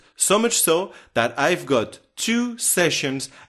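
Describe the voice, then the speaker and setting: A very slow man's voice in a French accent, with lively intonation, on a very clean recording over a silent background. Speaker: translator and software trainer. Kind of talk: self-promotional profile video.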